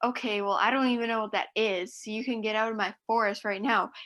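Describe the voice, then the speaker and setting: Putting on a character voice, a woman talks at a very fast pace with a fairly high pitch. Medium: read story. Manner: curt, dismissive.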